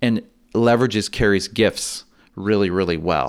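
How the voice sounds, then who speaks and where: In an unremarkable speaking voice, a man with a fairly low pitch talks fairly slowly with ordinary pitch variation on a very clean recording with a silent background. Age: 40s. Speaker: pastor. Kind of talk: interview.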